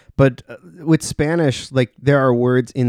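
A man with an American accent and an unremarkable speaking voice, medium in pitch with ordinary pitch variation, in a dry, close sound with no echo. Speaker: podcast host. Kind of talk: casual chat. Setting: studio.

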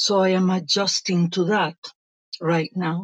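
A woman with a Spanish accent, speaking at a fairly slow pace in a monotone, flat intonation, with a dry, close sound and no echo. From Venezuela. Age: 50s. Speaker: life coach. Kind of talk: interview.

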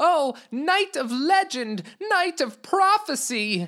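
A put-on character voice at a very slow pace uses a high pitch with very wide pitch swings. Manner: bowing, formal, pleading.

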